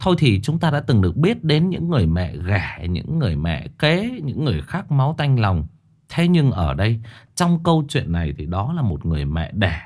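Against a quiet background, a man speaks at a moderate pace in a somewhat breathy voice with very wide pitch swings. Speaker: horror story narrator, live streamer. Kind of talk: story introduction commentary. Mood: earnest, indignant. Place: home room. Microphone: studio mic.

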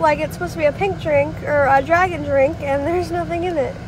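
The speech moves at a fairly quick pace over loud background noise, with a dry sound and no echo. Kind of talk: casual vlog chat. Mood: mildly annoyed, amused. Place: car. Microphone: phone near.

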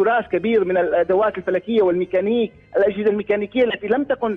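Over faint music in the background, a man talks at a very fast pace in a high voice with fairly even intonation. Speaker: guest. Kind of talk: interview answer. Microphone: phone line.

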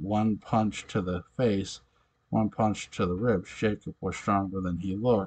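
In silent surroundings, an unforced reading voice keeps its intonation fairly even.

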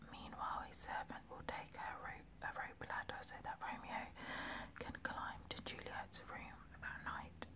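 Whispered at a fairly slow pace. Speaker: ASMR reader. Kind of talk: narrated scene summary between character lines. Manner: whispered, relaxing.

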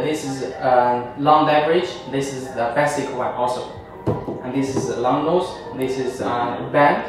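Amid strong room echo and noticeable background noise, a man speaks at a fairly slow pace. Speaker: presenter. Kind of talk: product demonstration. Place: studio.

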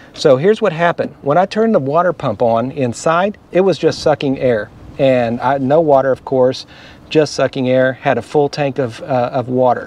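Here a man speaks at a moderate pace with lively intonation. The sound is dry, with no echo. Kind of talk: casual vlog explanation. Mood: animated, recounting a problem. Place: street. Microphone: phone near.

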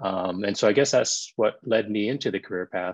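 A man speaks at a moderate pace in a normal speaking voice, fairly low in pitch, against a quiet background. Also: dry sound with no echo. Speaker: emergency physician. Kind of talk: panel discussion. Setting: video call. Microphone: video call.

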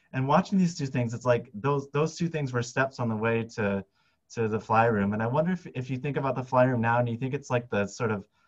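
Somewhat breathy male speech with ordinary pitch variation over a quiet background. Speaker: biologist and science filmmaker. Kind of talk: interview conversation. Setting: video call. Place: office. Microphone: headset.

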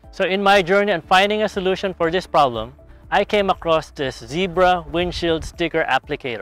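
A high-pitched man at a fairly quick pace with ordinary pitch variation, dry with no echo, faint music in the background. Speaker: how-to channel host. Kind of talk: tutorial. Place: street. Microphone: lapel.

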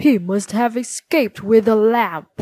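Growling, a woman puts on a character voice at a fairly high pitch. She speaks at a fairly slow pace. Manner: snarling.

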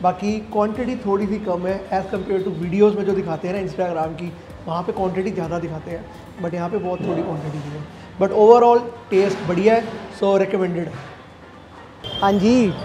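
Against light background noise, a man with a high pitch talks at a moderate pace with fairly even intonation. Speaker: food vlogger. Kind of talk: casual vlog chat.

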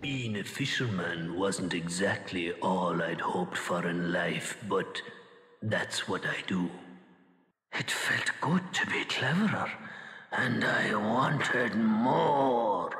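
Putting on a character voice, a man sounds raspy at a fairly low pitch, with a slight echo. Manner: brooding, quiet.

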